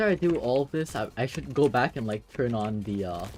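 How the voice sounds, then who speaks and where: Quiet and at a moderate pace, a man speaks in a medium pitch with music in the background. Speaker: gaming streamer. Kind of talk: live gameplay commentary.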